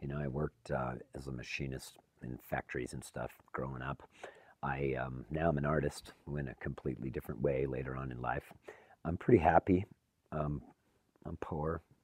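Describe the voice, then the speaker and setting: Vocal fry runs through the speech, delivered at a moderate pace with fairly even intonation and long, frequent pauses. The sound is dry and close, with no echo. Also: man, very deep, low pitch for a man. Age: 50s. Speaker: recovering addict, photographer. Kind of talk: documentary interview.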